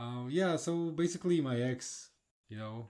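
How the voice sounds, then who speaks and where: On a very clean recording with a silent background, a man with a Polish accent speaks fairly slowly in a dark, mellow tone. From Poland. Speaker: podcast host. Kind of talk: casual chat.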